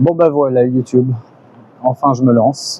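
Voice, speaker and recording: Recorded in a dry, close sound with no echo, a man speaks at a medium pitch and a moderate pace. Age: 50s. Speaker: beginner YouTuber, vlogger. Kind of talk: personal vlog monologue. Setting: outdoors on a balcony. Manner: halting, many hesitations.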